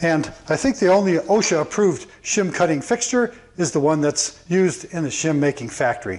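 A man speaks at a high pitch. His pace is moderate. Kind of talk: tutorial. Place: workshop. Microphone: lapel.

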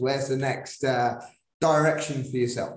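With a northern English accent, a man talks at a moderate pace with fairly even intonation, with audible room echo and a quiet background. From northern England. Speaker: podcast host, PE teacher. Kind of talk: interview. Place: home room. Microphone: video call.

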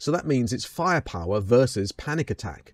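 A man with a British accent is heard against a quiet background, the sound dry with no echo. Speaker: metal YouTuber. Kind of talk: album ranking review, scripted-style commentary. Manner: animated, humorous. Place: home room. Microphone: studio mic.

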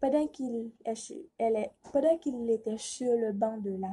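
The tone is dark and mellow, with ordinary pitch variation. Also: woman. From Haiti. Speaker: student contestant. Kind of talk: prepared speech for a reading contest. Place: home room. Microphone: phone near.

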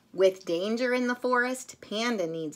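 A woman speaks at a medium pitch. Her intonation is lively.

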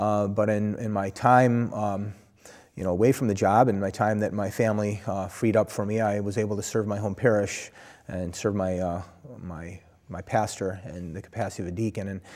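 Over a quiet background, a man speaks with an American accent at a moderate pace. His fairly low pitch stays monotone and flat. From Buffalo, New York area; New York. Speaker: Orthodox priest, former police officer; Orthodox priest. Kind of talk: interview. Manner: hesitant, many fillers. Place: studio. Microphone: lapel.

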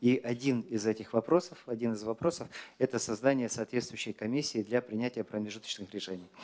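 This is a man speaking. He moves at a fairly quick pace with ordinary pitch variation. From Kazakhstan. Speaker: government minister. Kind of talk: press briefing answers. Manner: formal. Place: hall. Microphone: podium.

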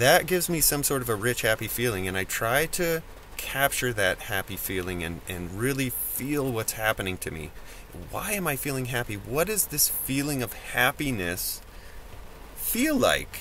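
With light background noise behind him, a man speaks in very wide pitch swings, and the sound is dry with no echo. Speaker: vlogger. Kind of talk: casual vlog chat. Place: car. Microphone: phone near.

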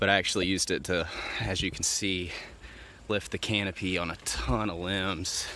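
The voice has ordinary pitch variation. The sound is dry with no echo, with light background noise. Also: man. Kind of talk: tutorial. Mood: relaxed, joking. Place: garden. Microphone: phone near.

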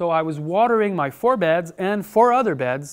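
A man speaks fairly slowly, and the background stays quiet. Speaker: conference speaker. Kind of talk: lecture. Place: hall. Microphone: lapel.

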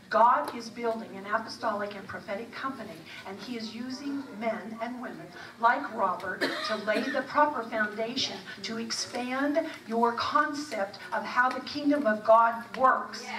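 Against noticeable background noise, a woman talks at a moderate pace with ordinary pitch variation and big swings in loudness. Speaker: event host introducing speaker. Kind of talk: speaker introduction. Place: church.

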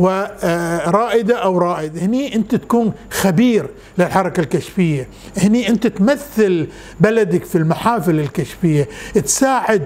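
A high-pitched man at a very slow pace, with lively intonation and very even loudness. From Bahrain, Manama; Bahrain. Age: 70s. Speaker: scout leader and visual artist; interviewee. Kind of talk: interview. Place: home room. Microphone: lapel.

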